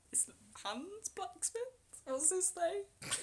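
A woman speaks slowly at an extremely high pitch, with a slightly mellow tone and lively intonation.

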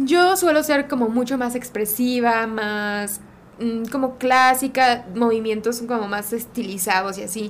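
Speaking at a fairly slow pace, a woman has an ordinary speaking voice with a fairly high pitch and ordinary pitch variation. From Mexico, Guadalajara. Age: 30s. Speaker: Olympic rhythmic gymnast. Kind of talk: casual interview.

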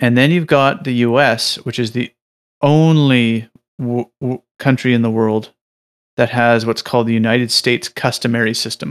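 An ordinary speaking voice from a man at medium pitch, moderate in pace, with fairly even intonation and a dry, close sound with no echo. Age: 30s. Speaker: podcast co-host. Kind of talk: casual debate.

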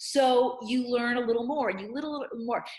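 Noticeable background noise accompanies a woman who talks at a moderate pace in a high pitch. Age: 50s. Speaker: nutrition educator and author. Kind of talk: casual interview chat. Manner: halting, many repeated words.

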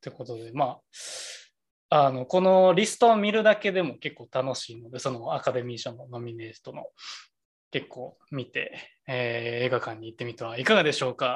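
A man speaks with a Kansai accent at a medium pitch and a moderate pace. His voice is somewhat breathy, with lively intonation and big swings in loudness. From Kansai, Japan. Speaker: podcast co-host. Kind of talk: casual chat. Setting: video call.

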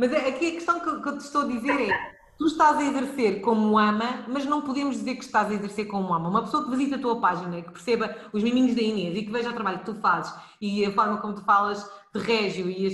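A woman's high, lively voice at a very fast pace in a European Portuguese accent, amid noticeable background noise and audible room echo. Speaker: podcast host, early childhood educator. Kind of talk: live podcast interview.

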